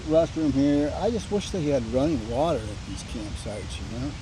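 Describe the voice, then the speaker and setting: A man at a fairly high pitch and a moderate pace, with lively intonation and audible room echo. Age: 60s. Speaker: bikepacking vlogger. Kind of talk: casual vlog monologue. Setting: outdoors at campsite. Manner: casual, rambling pace.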